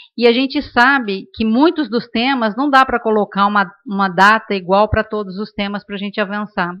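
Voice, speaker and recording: A woman speaks at a medium pitch. She has a São Paulo accent. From Brazil, São Paulo. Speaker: panelist at demography seminar. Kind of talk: panel discussion. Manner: many filler hesitations.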